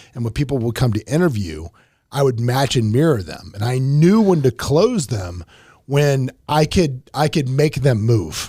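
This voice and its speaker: Captured in a very clean recording with a silent background, a man speaks at a medium pitch with very wide pitch swings, his voice somewhat breathy with a dark, mellow tone. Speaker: podcast host. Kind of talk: casual chat. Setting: studio. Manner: fast.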